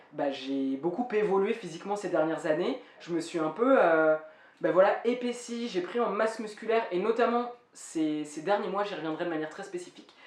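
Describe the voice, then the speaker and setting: Lively intonation marks a woman's speech against noticeable background noise. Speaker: vlogger. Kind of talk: personal vlog update. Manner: fast.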